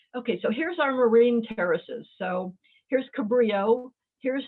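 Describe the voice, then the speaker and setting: Loud and high-pitched, a woman speaks at a moderate pace. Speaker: geologist, guest speaker. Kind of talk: lecture.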